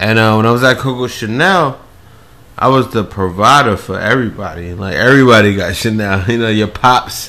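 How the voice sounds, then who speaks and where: A plain, everyday voice speaks in an American accent. The pace is fairly quick, with ordinary pitch variation. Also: man, medium pitch for a man. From New York City, Queens. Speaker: podcast guest. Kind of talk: casual chat.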